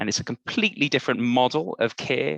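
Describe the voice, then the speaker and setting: With a Welsh accent, a man speaks at a medium pitch in a bright, sharp tone with ordinary pitch variation, the sound dry and close with no echo. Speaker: workshop facilitator. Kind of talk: online workshop presentation.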